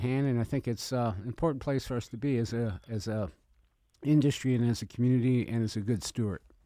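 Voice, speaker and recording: Here a man talks at a fairly quick pace in a medium pitch. His tone is dark and mellow, with ordinary pitch variation. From Italian-American family. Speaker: event planner and catering business owner. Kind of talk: radio interview. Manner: animated.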